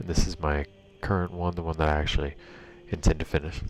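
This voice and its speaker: A soft-spoken man talks at a fairly quick pace over noticeable background noise. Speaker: gaming streamer. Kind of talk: live gameplay stream commentary. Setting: home bedroom. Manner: casual with many fillers; soft-spoken, talking quieter.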